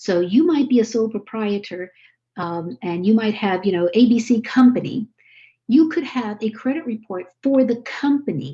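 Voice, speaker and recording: A dark, mellow tone with a somewhat breathy quality. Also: woman, fairly high pitch for a woman. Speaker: credit education presenter. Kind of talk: webinar presentation. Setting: video call. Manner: fast.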